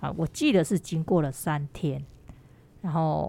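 With a plain, everyday voice, a woman speaks at a moderate pace and fairly low pitch with ordinary pitch variation, on a very clean recording with a silent background. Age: 50s. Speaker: mature university student and award winner. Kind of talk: interview.

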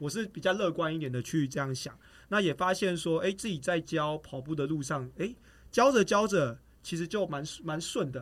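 Using a plain, everyday voice, a man with a fairly high pitch talks at a fairly quick pace with lively intonation. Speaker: track athlete and running coach. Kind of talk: casual chat.

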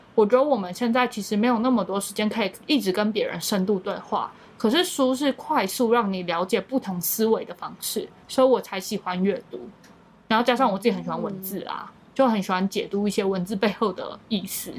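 Over background music, a woman with a fairly high pitch speaks at a fairly quick pace, her loudness swinging widely and her pitch varying in an ordinary way. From Matsu, Taiwan. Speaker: YouTuber and content creator. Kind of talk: casual interview.

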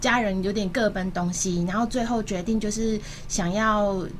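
Audible room echo surrounds a woman's somewhat breathy, medium-pitched voice. She speaks at a very slow pace with ordinary pitch variation. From Taipei, Taiwan. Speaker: pet food entrepreneur. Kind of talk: radio interview.

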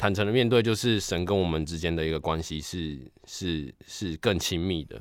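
Using a very deep, low pitch with ordinary pitch variation, a man speaks with a Taiwanese accent. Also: moderate pace. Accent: Taiwanese Mandarin. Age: young. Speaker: piano tuner. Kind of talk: interview. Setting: video call. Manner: halting.

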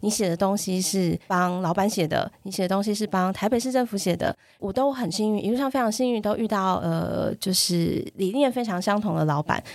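In a normal speaking voice, a woman talks at a fairly quick pace with hardly any pauses, her medium pitch showing ordinary variation on a very clean recording with a silent background. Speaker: NGO chair, parenting advocate. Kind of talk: casual chat.

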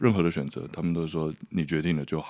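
This very clean recording has a silent background. On it, a man speaks fairly quickly. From Taiwan, hillside community near Taipei. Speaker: documentary filmmaker. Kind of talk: casual interview chat.

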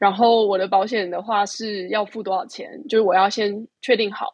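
With fairly even intonation, a woman talks in a plain, everyday voice. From Taiwan. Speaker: overseas contributor. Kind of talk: casual chat. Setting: remote call.

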